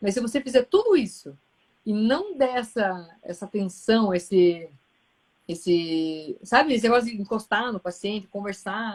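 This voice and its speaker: Her medium-pitched woman's voice shows ordinary pitch variation. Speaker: gastroenterologist, live host. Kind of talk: casual chat. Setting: Instagram live. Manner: fast.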